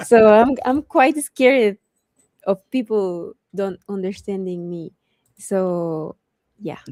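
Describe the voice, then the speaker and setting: A woman speaks very slowly at a medium pitch, with a non-native accent and lively intonation, pausing often and at length. Her tone is dark and mellow, and the sound is dry and close with no echo. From Mexico. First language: Spanish. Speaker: cosplayer and streamer. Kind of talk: casual interview chat. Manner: halting.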